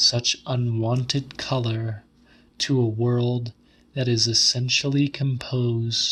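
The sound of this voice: With fairly even intonation, the speaker reads in an unforced voice.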